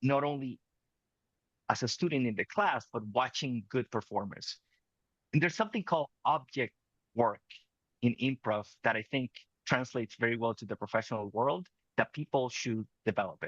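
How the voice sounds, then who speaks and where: With a Spanish accent, a man speaks at a moderate pace and medium pitch with ordinary pitch variation and long, frequent pauses, in a dry, close sound with no echo. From Venezuela. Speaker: communication coach. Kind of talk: interview conversation.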